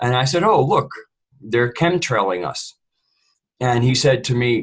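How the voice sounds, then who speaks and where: A man talks at a fairly quick pace with a somewhat breathy tone. His pitch varies in an ordinary way. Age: 60s. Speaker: panel co-host. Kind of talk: panel discussion.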